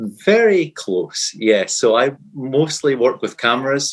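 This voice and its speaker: The speaker is a man. He talks with a Scottish accent. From Fife, Scotland. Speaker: podcast guest, superfan quiz contestant.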